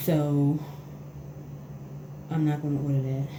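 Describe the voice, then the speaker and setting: Amid audible room echo and noticeable background noise, a woman speaks in a very deep, low voice with monotone, flat intonation. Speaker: beauty vlogger. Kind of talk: tutorial. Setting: bathroom at home. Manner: casual, hesitant.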